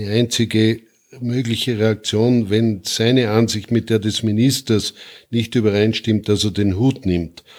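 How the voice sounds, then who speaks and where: A man's flat, monotone delivery at a fairly slow pace, on a very clean recording with a silent background. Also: medium pitch for a man. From Austria, Salzburg. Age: 80s+. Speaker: retired army general. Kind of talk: interview. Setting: guest's living room.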